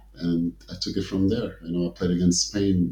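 A man with an African accent speaks in a somewhat breathy voice. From Portugal. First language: Portuguese. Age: 40s. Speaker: former professional basketball player. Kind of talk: interview. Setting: studio.

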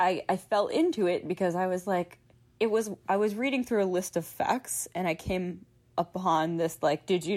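A woman speaks with a plain, everyday voice and an American accent at a moderate pace. Her pitch is medium, with ordinary variation. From Philadelphia suburbs, US. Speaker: children's author and illustrator. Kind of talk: casual interview conversation.

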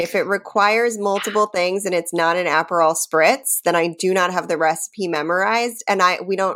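In a very clean recording with a silent background, a woman with a fairly low voice talks at a moderate pace with ordinary pitch variation. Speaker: podcast co-host. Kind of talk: casual chat. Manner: laughs a lot, loud laugh.

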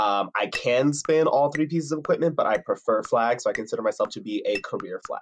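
A man with an American accent talks at a very fast pace. He leaves hardly any pauses. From New Jersey. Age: 20s. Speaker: color guard performer and captain. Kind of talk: interview. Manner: enthusiastic.

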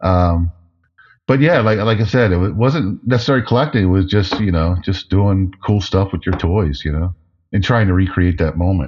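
This man's pitch is very deep and low, with ordinary variation. He speaks at a moderate pace and sounds somewhat breathy. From New Jersey, US. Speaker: toy packaging designer. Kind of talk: interview.

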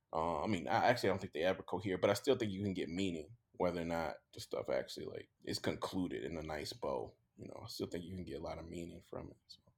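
A man's very fast delivery in a Mississippi accent, with big swings in loudness. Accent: Mississippi Southern US. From US South, Jackson, Mississippi. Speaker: author and professor. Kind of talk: casual interview chat.

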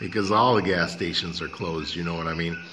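Noticeable background noise fills the recording. Over it, a man is talking. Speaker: radio host. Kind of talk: talk radio show with sponsor reads and intro.

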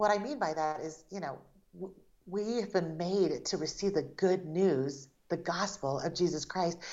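At a moderate pace, an unremarkable speaking voice rises and falls with ordinary pitch variation. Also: woman, fairly low pitch for a woman. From Taiwan, raised in the United States from age four. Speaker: author and artist. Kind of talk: interview.

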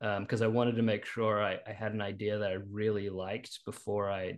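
A man with a New Zealand accent speaks at a moderate pace in a fairly low voice. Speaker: screenwriter. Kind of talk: interview. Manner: halting.

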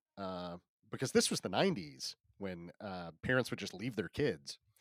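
A man with a plain, everyday voice speaks at a fairly low pitch and a moderate pace. The sound is dry and close, with no echo. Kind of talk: casual chat and storytelling. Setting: remote recording from Los Angeles.

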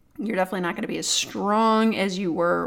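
A woman speaks at a medium pitch. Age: 40s. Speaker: yoga teacher and strength coach. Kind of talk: casual chat.

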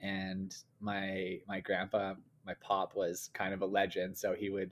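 In a very clean recording with a silent background, a man with an unremarkable speaking voice talks fairly slowly at a fairly low pitch. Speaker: company co-founder. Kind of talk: casual interview chat.

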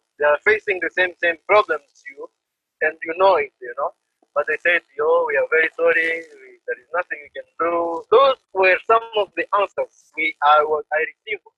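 In a Congolese accent, a man speaks at a moderate pace. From DR Congo. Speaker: refugee community organizer. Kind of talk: interview.

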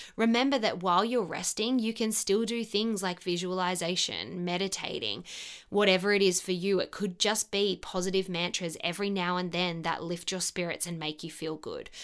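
A woman talks in an animated tone with ordinary pitch variation. She leaves hardly any pauses. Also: medium pitch for a woman, moderate pace. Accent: Australian. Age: 30s. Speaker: podcast host. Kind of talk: casual monologue.

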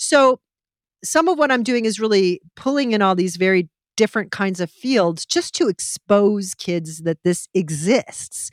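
Using a normal speaking voice, a woman with a medium pitch and lively intonation talks at a fairly slow pace in a dry, close recording with no echo. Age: 50s. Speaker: children's radio show producer. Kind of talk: interview conversation.

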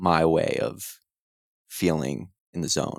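Very deep and low, a man with an American accent speaks with fairly even intonation in a very clean, dry, and close recording with a silent background and no echo. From US Northeast (New Jersey). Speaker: fitness coach. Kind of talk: casual chat. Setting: home recording.

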